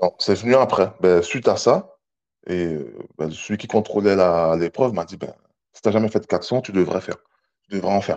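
Against a quiet background, a man with a fairly low pitch and ordinary pitch variation speaks at a moderate pace, with big swings in loudness and long, frequent pauses. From French Guiana. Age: 30s. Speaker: army fitness instructor. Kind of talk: casual interview. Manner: calm, not loud; hesitant, many fillers.

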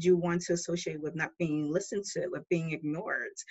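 With a New York accent, a woman speaks in a fairly low voice with fairly even intonation. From New York City. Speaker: filmmaker. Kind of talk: interview.

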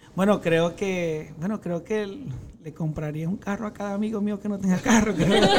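A man with a high pitch talks at a moderate pace as noticeable background noise continues. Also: ordinary pitch variation. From Venezuela, Maracaibo. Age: 40s. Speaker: social media content creator. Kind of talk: casual interview chat.

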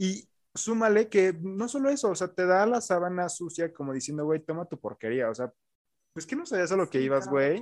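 Speaking with a Mexican accent, a man talks at a fairly quick pace, his high pitch making very wide swings. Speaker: podcast co-host. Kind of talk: casual chat. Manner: halting.

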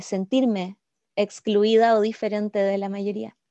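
A woman with a fairly high pitch and a dark, mellow tone talks at a fairly slow pace. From southern Chile. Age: 30s. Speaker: journalist. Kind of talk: interview.

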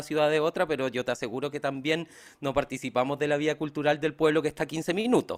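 In a very clean recording with a silent background, a man speaks very fast at a fairly high pitch with fairly even intonation. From Chiloé, southern Chile. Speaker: podcast co-host. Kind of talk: scripted narration; casual interview.

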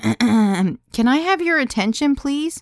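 A squeaky, put-on character voice moves at a fairly slow pace with very wide pitch swings, recorded dry and close with no echo. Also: woman. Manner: addressing a room, nervous.

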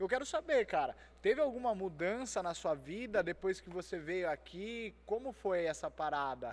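A man talks at a high pitch with very wide pitch swings. He speaks with hardly any pauses. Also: moderate pace. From Itatiba, São Paulo state, Brazil. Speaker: podcast host. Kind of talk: casual chat.

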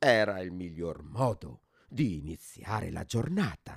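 At a fairly slow pace, a man speaks with a warm tone, the sound dry and close with no echo. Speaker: course participant storyteller. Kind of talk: storytelling narration, reading a written tale aloud. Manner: measured, warm and expressive, soft dreamy pacing.

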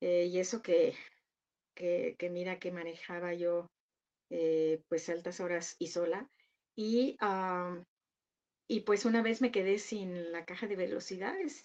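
A woman's fairly low voice at a very slow pace, with ordinary pitch variation and long, frequent pauses against a quiet background. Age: 70s. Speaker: retired businesswoman and public speaker. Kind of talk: interview.

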